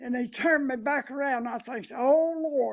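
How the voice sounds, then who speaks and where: With a rural Appalachian accent, a man talks at a fairly slow pace. His pitch is extremely high. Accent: rural Appalachian Southern US. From US South, western North Carolina (McDowell County). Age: 80s+. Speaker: elderly interviewee. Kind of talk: oral history interview. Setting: senior center. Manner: halting, with frequent fillers.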